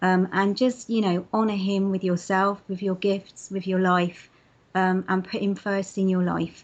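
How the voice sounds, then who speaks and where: A woman at medium pitch with a slight London accent, moderate pace, and a quiet background. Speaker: interviewee sharing faith story. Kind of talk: testimony interview. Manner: hesitant, many fillers.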